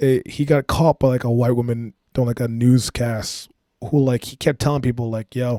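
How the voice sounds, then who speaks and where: A man with a dark, mellow tone and medium pitch talks at a fairly quick pace with fairly even intonation. The very clean recording has a silent background and a dry, close sound with no echo. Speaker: comedian. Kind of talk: comedic monologue. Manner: fast; casual.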